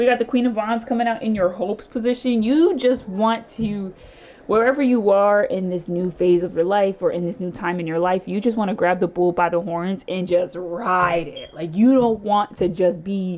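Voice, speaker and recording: A woman with a Philadelphia accent speaks at a medium pitch with ordinary pitch variation. She leaves hardly any pauses. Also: moderate pace. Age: 30s. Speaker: tarot reader. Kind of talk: tarot reading to camera. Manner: casual, chatty.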